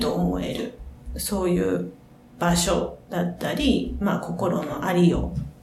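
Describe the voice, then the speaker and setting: Noticeable background noise and audible room echo both surround a woman's voice. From Osaka, Japan. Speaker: clinical psychologist. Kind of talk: interview. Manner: halting.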